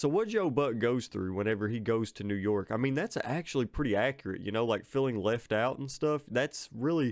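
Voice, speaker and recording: In an American accent, a man talks at a fairly quick pace and medium pitch. He uses hardly any pauses and ordinary pitch variation. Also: quiet background. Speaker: film reviewer. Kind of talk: casual monologue review. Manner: halting, many fillers and repetitions.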